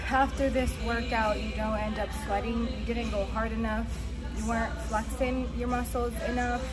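Clear music sounds behind the voice. A woman speaks at a moderate speed. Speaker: fitness creator. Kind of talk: casual vlog chat. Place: gym. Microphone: phone near.

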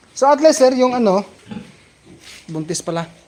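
There is noticeable background noise as a man speaks. He keeps a moderate pace and ordinary pitch variation. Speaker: pig farmer and farming vlogger. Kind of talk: casual farm vlog with live shout-outs. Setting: outdoors on a pig farm. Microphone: handheld camera, shaky without stand.

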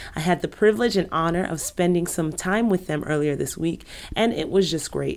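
This woman's voice sits at a fairly low pitch with vocal fry and ordinary pitch variation. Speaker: business attorney. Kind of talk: educational talk to camera. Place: office.

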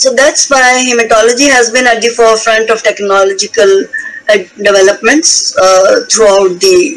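Noticeable background noise runs under a woman's fairly high voice. She talks at a moderate pace with lively intonation. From India, Himalayan region. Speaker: hematopathology professor. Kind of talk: lecture.

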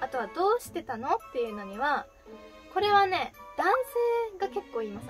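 The speaker talks at a very fast pace in a Fukuoka accent. Clear music plays in the background. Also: woman. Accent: Hakata dialect. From Fukuoka, Japan. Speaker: idol. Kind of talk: casual talk to camera. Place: home room.

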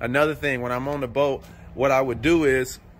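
A man talks at a moderate pace. His intonation is fairly even. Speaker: fishing vlogger. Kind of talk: casual tutorial walkthrough. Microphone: phone near.

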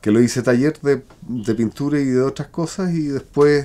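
A man with a Chilean accent speaks at a fairly slow pace. His tone is dark and mellow. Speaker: self-builder and craftsman; interviewee. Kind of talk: interview testimony. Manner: halting. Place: home room.

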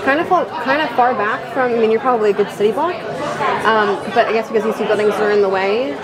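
A woman speaks with crowd noise in the background. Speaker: travel vlogger. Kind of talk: casual vlog chat. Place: cafe. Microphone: phone near.

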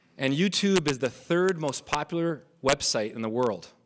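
The speech moves at a fairly slow pace. Noticeable background noise runs beneath it. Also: man. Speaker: forum moderator. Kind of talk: panel moderation. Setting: stage with audience. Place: hall. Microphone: podium.

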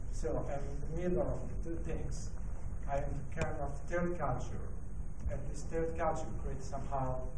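A man talks at a moderate pace while background noise is noticeable. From Italy. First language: Italian. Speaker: designer and design lecturer. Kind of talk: presentation talk. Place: hall. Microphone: handheld.

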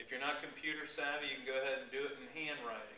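There is audible room echo and light background noise as a man speaks with ordinary pitch variation. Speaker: fishing guide giving a talk. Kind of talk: informal talk to a club. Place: meeting room. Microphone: camera far.

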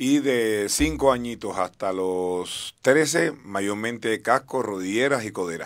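With lively intonation and hardly any pauses, a man talks at a very slow pace over a quiet background. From Cuba. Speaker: skating coach. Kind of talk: interview. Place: studio. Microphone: studio mic.

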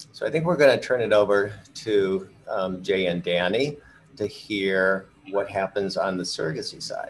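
A man speaks at a moderate pace in a fairly low pitch with ordinary pitch variation. Light background noise is audible. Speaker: fertility doctor; panelist. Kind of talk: expert explanation on a webinar. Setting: video call. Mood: warm, friendly. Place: office. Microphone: video call.

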